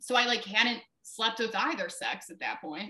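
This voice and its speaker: A woman's fairly high, bright, sharp voice with a Midwestern US accent. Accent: US Midwest. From Ohio, Brunswick near Cleveland. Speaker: writer and publisher. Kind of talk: interview.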